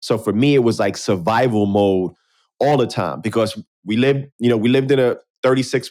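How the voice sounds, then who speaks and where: A man with a New York accent, medium in pitch and fairly quick, with ordinary pitch variation, very even loudness, and a very clean recording with a silent background. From New York City, South Bronx. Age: 40s. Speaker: podcast host. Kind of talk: casual interview chat.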